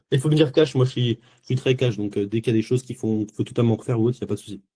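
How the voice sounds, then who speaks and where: At a very fast pace, the voice has a dark, mellow tone, sounds somewhat breathy, keeps fairly even intonation, and comes through dry and close with no echo. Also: man, medium pitch for a man. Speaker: sales closer coached live. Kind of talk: live coaching session.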